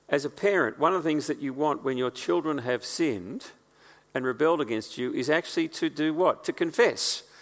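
Using an ordinary speaking voice, a man with a fairly high pitch talks at a fairly quick pace with lively intonation. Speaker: preacher. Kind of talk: sermon. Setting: church.

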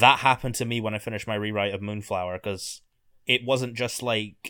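Speaking at a fairly quick pace, a man with a Scottish accent has a fairly low pitch, a bright, sharp tone and monotone, flat intonation. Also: very clean recording, silent background. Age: 20s. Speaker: author and video essayist. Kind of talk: casual chat. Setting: at home in his room.

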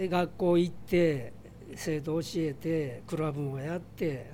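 With an Osaka accent, a man speaks very slowly amid audible room echo. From Osaka, Minato ward. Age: 60s. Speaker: bar owner and retired teacher. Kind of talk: interview. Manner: hesitant with many fillers.

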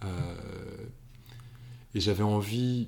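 A man speaks with a fairly low pitch. His intonation stays flat and monotone. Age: 50s. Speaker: novelist. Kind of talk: interview. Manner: halting, many repetitions and hesitations.

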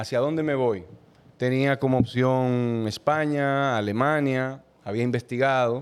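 Speaking in a Dominican Cibao accent, a man goes at a fairly slow pace with medium pitch, fairly even intonation and very even loudness. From Dominican Republic, Moca. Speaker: dental technician. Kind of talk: casual chat.

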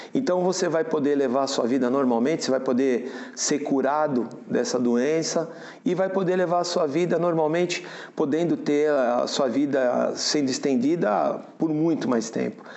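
In a room with audible echo, a man talks at a fairly high pitch with very even loudness. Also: ordinary pitch variation, moderate pace. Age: 50s. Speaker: prostate cancer patient, auto body shop owner. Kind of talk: interview testimony. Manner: halting, with fillers and repetitions.

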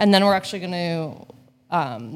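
A woman with a normal speaking voice talks at a moderate pace in a fairly low pitch, with ordinary pitch variation. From Hamilton, Ontario, Canada. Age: 30s. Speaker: entrepreneur with a past drug conviction. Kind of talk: interview. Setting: cafe.

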